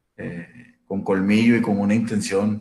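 A man is speaking. His pace is very slow. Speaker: labor lawyer. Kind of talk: casual discussion.

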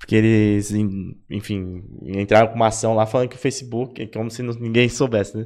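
A man uses a plain, everyday voice at a medium pitch. His pace is moderate and his intonation fairly even. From São Paulo, Zona Leste (Itaquera). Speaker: design podcast host. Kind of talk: casual chat. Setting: live-streamed podcast.

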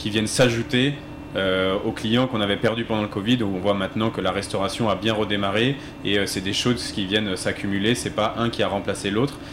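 A man talks at a moderate pace with a fairly low pitch and fairly even intonation. Noticeable background noise runs underneath. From Alsace. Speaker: company founder, hunter. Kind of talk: panel discussion.

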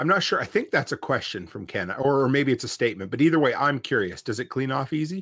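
Very fast, nearly pause-free speech from a man at medium pitch, with vocal fry, very wide pitch swings, and a very clean recording with a silent background. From Nova Scotia. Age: 40s. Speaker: podcast host. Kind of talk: casual interview. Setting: live video stream.

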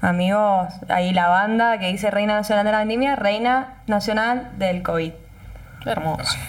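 A woman at a moderate pace with fairly even intonation and very even loudness, with audible room echo and noticeable background noise. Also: medium pitch for a woman. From Argentina, Mendoza (Tupungato). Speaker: wine festival queen, journalist. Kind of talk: casual interview.

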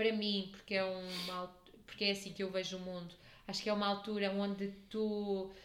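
With a European Portuguese accent, a woman speaks at medium pitch and a moderate pace in a monotone, flat intonation, with audible room echo. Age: 30s. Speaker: podcast host. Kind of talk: casual chat.

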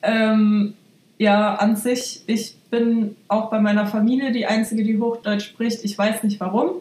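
Very slow, somewhat breathy speech with monotone, flat intonation and very even loudness. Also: woman, fairly high pitch for a woman. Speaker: hairdresser. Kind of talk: casual chat.

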